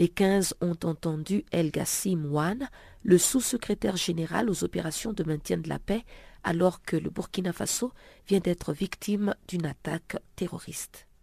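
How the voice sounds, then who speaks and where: Dry and close with no echo, a woman's voice with a dark, mellow tone moves at a fairly slow pace on a very clean recording with a silent background. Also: ordinary pitch variation. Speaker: radio news magazine presenter. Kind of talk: news reading. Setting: radio studio.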